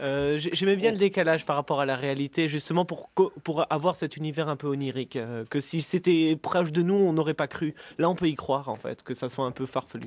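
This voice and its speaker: In a normal speaking voice, the speaker talks at a fairly quick pace with hardly any pauses and ordinary pitch variation, in a dry, close sound with no echo. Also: man, fairly high pitch for a man. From Alsace. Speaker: author, painter and stage actor. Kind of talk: radio interview answer.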